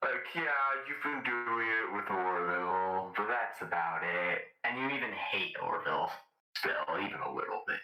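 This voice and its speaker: In a put-on character voice, a man speaks at a medium pitch and a moderate pace with a slight echo. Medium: machinima. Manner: casual, breezy.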